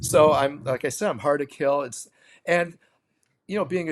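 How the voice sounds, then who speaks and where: The recording is very clean, the background silent. A man speaks at a moderate pace. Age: 70s. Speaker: jazz drummer and music teacher. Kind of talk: casual interview chat.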